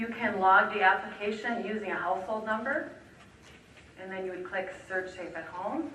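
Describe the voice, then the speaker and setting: Soft-spoken, a woman keeps a medium pitch with ordinary pitch variation at a moderate pace, and her loudness swings widely. Noticeable background noise and audible room echo fill the recording. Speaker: energy assistance program trainer. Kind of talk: training presentation.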